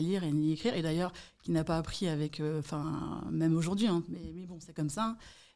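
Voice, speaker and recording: Fairly quick delivery pairs with a dark, mellow tone and intonation that stays fairly even. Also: woman. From Paris region, France (Malakoff, Hauts-de-Seine). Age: 40s. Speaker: real estate agent. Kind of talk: podcast interview.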